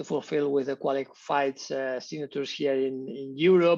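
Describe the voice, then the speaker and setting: The speaker has a Spanish accent and a flat, monotone intonation. The background is quiet. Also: man. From Spain. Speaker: tech company co-founder. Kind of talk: interview. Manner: halting, with many repetitions.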